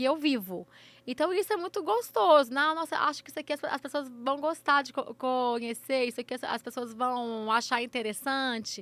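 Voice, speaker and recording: A woman's high pitch with lively intonation at a moderate pace, dry and close with no echo. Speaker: influencer and runner. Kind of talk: interview. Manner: halting, repeated syllables.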